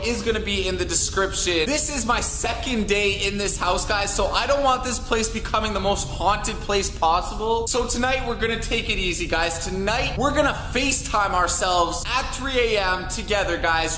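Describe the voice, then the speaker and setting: A man's raised, projected voice at a moderate pace with hardly any pauses, over music in the background with audible room echo. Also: ordinary pitch variation. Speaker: vlogger. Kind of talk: casual vlog chat. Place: home room. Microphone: phone near.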